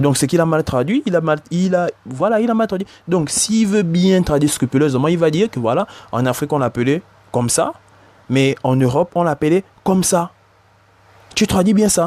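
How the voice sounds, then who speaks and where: Speaking at a moderate pace, a man with a high pitch uses lively intonation and very even loudness. He takes long, frequent pauses, and the sound is dry and close with no echo. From Africa. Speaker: bible teacher. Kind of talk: religious commentary. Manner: hesitant, repetitive.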